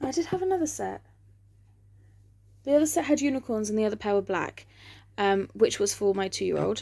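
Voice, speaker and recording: In an English accent, a woman speaks with a dark, mellow tone and lively intonation. The recording is very clean, with a silent background. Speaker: vlogger. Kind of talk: casual chat. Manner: hesitant, many fillers.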